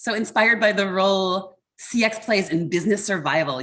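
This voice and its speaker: A woman has an unremarkable speaking voice with an American accent. She speaks at a fairly slow pace. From US Mid-Atlantic, Baltimore, Maryland. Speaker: customer experience mentor and association board chair. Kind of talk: online workshop talk.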